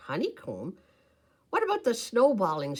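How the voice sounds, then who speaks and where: Put on as a character voice, the speech has a fairly high pitch and moves at a moderate pace. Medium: read story. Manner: sly, gleeful.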